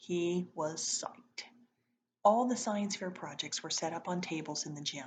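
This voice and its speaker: A woman's somewhat breathy, fairly low voice at a moderate pace, with ordinary pitch variation. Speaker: teacher reading aloud to students. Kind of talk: reading aloud.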